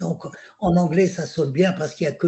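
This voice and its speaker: This man speaks with an Algerian accent in a high voice. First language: Algerian Arabic (speaking French). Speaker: poet. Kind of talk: panel discussion. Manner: halting, many repetitions.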